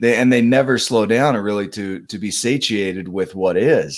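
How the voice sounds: Very clean, silent-background recording of a man with a fairly low voice and a Utah accent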